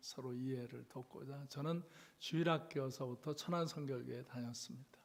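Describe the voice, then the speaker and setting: A man speaks in a fairly high, somewhat breathy voice. His pitch variation is ordinary. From South Korea, Chungcheong (Cheonan). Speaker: revival preacher. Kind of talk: sermon. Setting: church. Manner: slow speech; halting.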